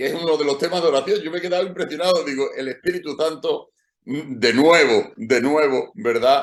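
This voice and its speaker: His delivery moves at a moderate tempo. This man's pitch rises and falls in an ordinary way. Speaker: pastor. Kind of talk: sermon. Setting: church meeting over video call.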